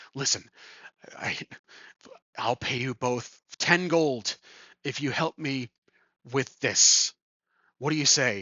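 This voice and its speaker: A raspy, put-on character voice at low-to-middle pitch moves at a fairly slow pace, with long, frequent pauses. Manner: conspiratorial.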